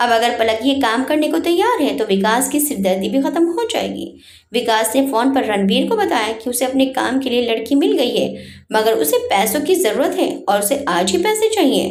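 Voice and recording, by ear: With big pitch swings, a woman talks at a moderate pace in a fairly high pitch with a slightly mellow tone.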